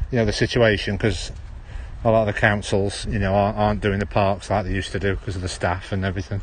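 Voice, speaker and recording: This man talks at a very fast pace in a Stoke-on-Trent accent. His pitch sits fairly low. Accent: Stoke-on-Trent accent, drops H's. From Stoke-on-Trent, English Midlands. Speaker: live streamer. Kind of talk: casual walking livestream. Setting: outdoors in a park.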